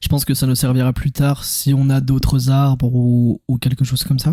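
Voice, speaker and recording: Somewhat breathy and dark, mellow in tone, a man speaks at a moderate pace with monotone, flat intonation. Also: dry, close sound with no echo. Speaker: gaming youtuber. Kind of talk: gameplay commentary. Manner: calm; casual.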